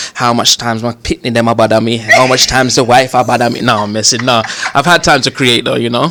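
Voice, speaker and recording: Words rush out at a very fast pace in a London accent, the intonation fairly even. There is noticeable noise in the background. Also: man, medium pitch for a man. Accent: London multicultural English. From Northwest London, England. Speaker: comedian. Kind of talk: casual interview.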